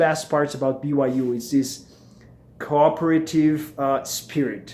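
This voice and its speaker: A man with a Brazilian Portuguese accent speaks at a fairly high pitch. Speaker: MBA student vlogger. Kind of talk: casual vlog. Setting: at home. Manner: hesitant, many fillers.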